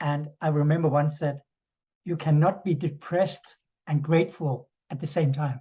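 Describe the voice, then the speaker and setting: Speaking at a moderate pace, a man delivers flat, monotone lines in a fairly high pitch, somewhat breathy and with a dark, mellow tone. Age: 60s. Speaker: interviewer. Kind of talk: interview. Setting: video call.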